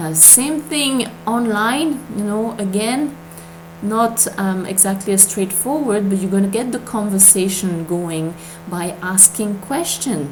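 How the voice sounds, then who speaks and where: Against noticeable background noise and audible room echo, a woman with a non-native accent speaks fairly slowly at a medium pitch, her intonation lively. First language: not English. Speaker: MLM recruiting coach. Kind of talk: tutorial. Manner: hesitant, many fillers.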